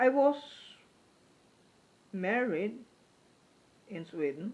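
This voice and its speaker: A woman with a non-native accent, her fairly high pitch swinging very widely. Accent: foreign accent, noticeable. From Norway. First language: Norwegian. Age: 50s. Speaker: YouTuber. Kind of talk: casual vlog talk to camera. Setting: home living room.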